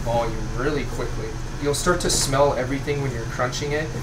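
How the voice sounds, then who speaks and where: Loud background noise fills the recording. The speech moves at a fairly quick pace. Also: man. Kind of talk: tutorial. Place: kitchen.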